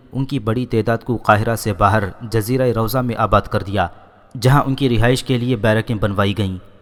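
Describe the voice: Just plain reading aloud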